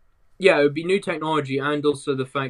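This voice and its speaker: The speaker is a man. He has a British accent. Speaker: tech podcast guest. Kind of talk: casual tech chat.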